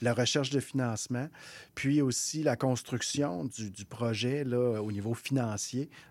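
A man speaks fairly slowly at a medium pitch with fairly even intonation. The recording is very clean, with a silent background. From Quebec North Shore, Innu community. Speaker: executive director of a First Nations economic development organization. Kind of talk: radio interview. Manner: halting, many repetitions.

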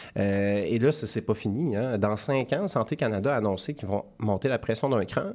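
In a normal speaking voice, a man talks at a fairly quick pace with lively intonation, recorded very cleanly against a silent background. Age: 30s. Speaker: satirical news columnist. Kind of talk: comedic news commentary. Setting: studio.

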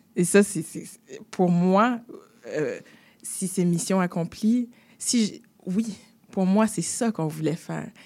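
A woman at a very slow pace with long, frequent pauses, on a very clean recording with a silent background. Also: medium pitch for a woman, ordinary pitch variation. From Quebec, Haitian family. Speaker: actress and screenwriter. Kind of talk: interview.

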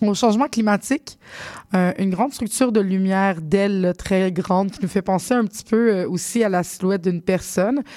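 Speaking at a moderate pace, a woman has a dark, mellow tone and a medium pitch. Her pitch variation is ordinary. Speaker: radio host. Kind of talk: radio show hosting. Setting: studio.

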